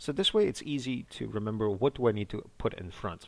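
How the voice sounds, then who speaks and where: Talking fairly quickly with fairly even intonation, this man has an unremarkable speaking voice. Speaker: language teacher. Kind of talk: language lesson, teaching. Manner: explanatory, tutorial.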